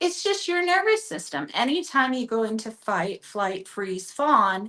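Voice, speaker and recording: At a fairly slow pace, a woman with an American accent speaks at a fairly high pitch with very wide pitch swings. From Chicago, US Midwest. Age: 40s. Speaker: therapist and app founder. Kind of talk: interview.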